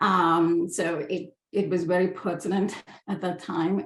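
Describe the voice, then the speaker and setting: Speaking with an Indian accent, a woman has a fairly low pitch. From India, Hyderabad. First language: Hindi. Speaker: book artist and designer. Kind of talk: presentation.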